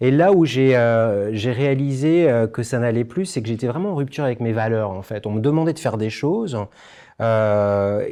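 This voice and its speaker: A man with a medium pitch and a dark, mellow tone, lively intonation, a moderate pace and a quiet background. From France. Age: 50s. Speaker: former travel company executive, conference speaker. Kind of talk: testimony. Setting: conference stage with audience. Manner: halting, many hesitations.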